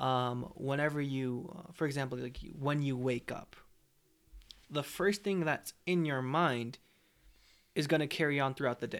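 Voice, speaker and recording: At a moderate pace with ordinary pitch variation, the speech is broken by long, frequent pauses. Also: man, fairly high pitch for a man. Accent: American. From northern California, Bay Area. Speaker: Bible college student. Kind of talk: testimony in casual interview. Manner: hesitant, many fillers.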